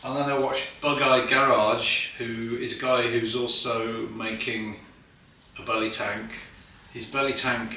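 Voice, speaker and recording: There is audible room echo and noticeable background noise behind a man speaking. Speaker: hobbyist car builder. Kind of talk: workshop video tutorial. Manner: mumbling; casual, hesitant.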